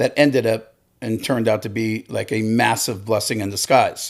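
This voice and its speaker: Heard in a very clean recording with a silent background, an ordinary speaking voice moves at a moderate pace with fairly even intonation. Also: man. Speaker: lending company executive. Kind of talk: interview.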